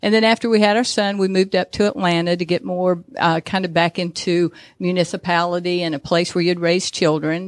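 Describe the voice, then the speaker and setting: A woman with an American accent speaks at a fairly quick pace in a plain, everyday voice, fairly low in pitch with fairly even intonation. The very clean recording has a silent background and a dry, close sound with no echo. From Georgia, US (Dalton). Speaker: tourism bureau executive. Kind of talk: radio interview. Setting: studio.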